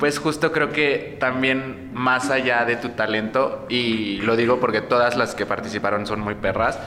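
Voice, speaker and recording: With noticeable background noise and audible room echo, a man speaks fairly slowly at a medium pitch, with fairly even intonation and hardly any pauses. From Mexico, Morelos. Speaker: drag performer. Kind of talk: casual chat.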